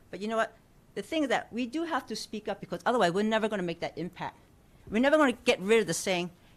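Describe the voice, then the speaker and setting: Speaking very fast with an American accent, a woman uses a fairly high pitch that swings very widely. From New York. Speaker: community member at a panel. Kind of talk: audience comment at public forum. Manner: animated.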